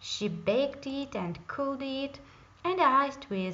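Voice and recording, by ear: With audible room echo, the speaker goes slowly in a fairly bright tone with lively intonation. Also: woman.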